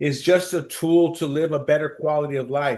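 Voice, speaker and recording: With an American accent, a man has an unremarkable speaking voice at a fairly high pitch, talking at a moderate pace over a quiet background. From US, East Los Angeles. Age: 60s. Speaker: financial planner. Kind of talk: interview.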